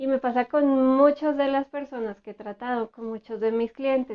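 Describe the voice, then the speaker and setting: A woman talks in a soft-spoken way. Her intonation stays fairly even. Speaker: therapist. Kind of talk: educational talk.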